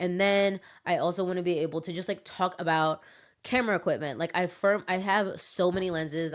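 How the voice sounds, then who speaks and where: Here a woman speaks with fairly even intonation. The recording is very clean, the background silent. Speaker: YouTuber and photographer. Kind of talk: casual vlog monologue. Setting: at home. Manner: fast; casual, filler-heavy.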